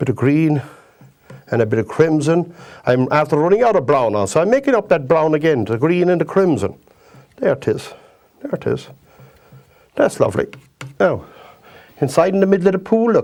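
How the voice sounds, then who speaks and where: In a Kerry Irish accent, a man speaks at a fairly quick pace and fairly high pitch, with very wide pitch swings and long, frequent pauses. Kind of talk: painting tutorial. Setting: TV studio. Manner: chatty, repetitive.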